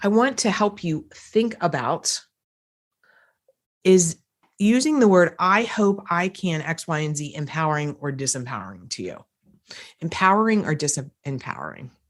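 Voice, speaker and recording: Speaking at a moderate pace with an American accent and lively intonation, the voice leaves long, frequent pauses against a quiet background. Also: woman, fairly low pitch for a woman. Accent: slight US East Coast accent, shows when tired. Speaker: podcast host, personal growth coach. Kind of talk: solo podcast monologue. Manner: casual, conversational with fillers.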